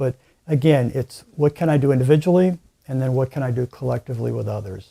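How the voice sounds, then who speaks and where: Very fast speech comes from a man with a somewhat breathy, dark and mellow voice at medium pitch. His pitch variation is ordinary, and the sound is dry and close with no echo. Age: 60s. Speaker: climate activist. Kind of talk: interview.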